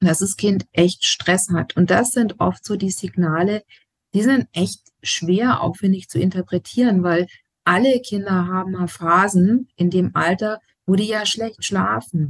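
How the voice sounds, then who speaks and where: A somewhat breathy woman of medium pitch and ordinary pitch variation talks at a very slow pace in a dry, close sound with no echo. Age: 40s. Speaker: educator and family counselor. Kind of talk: interview.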